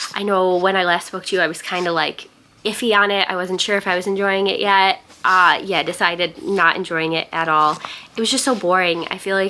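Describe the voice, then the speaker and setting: A woman with fairly even intonation amid noticeable background noise. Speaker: booktuber. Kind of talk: vlog. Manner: casual, chatty.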